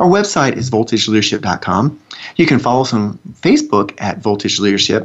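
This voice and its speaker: A man's medium-pitched voice with a Southern US accent, fairly quick pace and lively intonation. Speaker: radio host. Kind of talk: casual co-hosted radio talk. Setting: studio.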